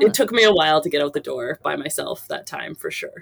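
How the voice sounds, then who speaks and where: Recorded with a dry, close sound and no echo, a woman speaks. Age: 40s. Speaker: phys ed teacher and amateur marathon runner. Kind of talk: interview storytelling.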